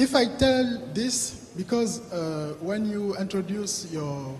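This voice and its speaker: There is noticeable background noise behind a man with a high-pitched voice. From Africa. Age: young. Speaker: audience member asking a question. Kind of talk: Q&A question from the floor. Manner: halting, many repetitions and hesitations.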